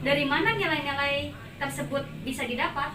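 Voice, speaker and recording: Noticeable background noise and audible room echo around a woman at a moderate pace. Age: young. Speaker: university student interviewer. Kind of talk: student interview assignment.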